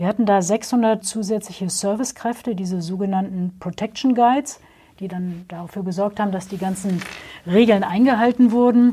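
Her voice is a woman's, medium in pitch, with a dark, mellow tone and some breathiness, moving at a moderate pace with fairly even intonation. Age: 50s. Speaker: trade fair director. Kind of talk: interview.

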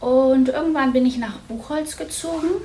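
A high-pitched woman at a moderate pace, with audible room echo and noticeable background noise. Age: 50s. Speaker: psychologist and mayoral candidate. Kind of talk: interview.

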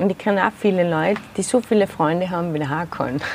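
A woman talks with a fairly low pitch and ordinary pitch variation. Noticeable background noise is present. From Austria, Tyrol (Zillertal). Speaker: theatre maker and festival founder. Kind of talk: interview. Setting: outdoors in a garden. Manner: hesitant, many fillers.

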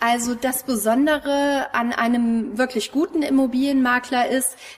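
A woman with a high pitch talks at a moderate pace with fairly even intonation. Noticeable background noise is present. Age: 30s. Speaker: real estate agent. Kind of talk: interview.

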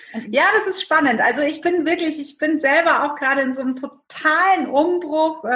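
This woman talks in a high voice, hardly pausing at all. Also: ordinary pitch variation, moderate pace. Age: 40s. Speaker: direct sales entrepreneur. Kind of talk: interview.

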